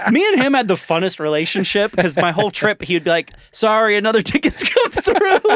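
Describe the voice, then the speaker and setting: Speaking with a Californian accent at a fairly quick pace, a man uses a high pitch and lively intonation, hardly any pauses and very even loudness, in a dry, close sound with no echo over noticeable background noise. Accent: Californian American English. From US, San Diego, California. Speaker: podcast host. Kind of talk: casual interview chat.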